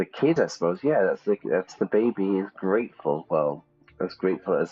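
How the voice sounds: The speaker reads in a natural voice.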